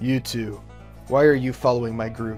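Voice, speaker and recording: A gruff, put-on character voice moves at a moderate pace with monotone, flat intonation. Music plays clearly in the background. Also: man. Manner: suspicious, demanding.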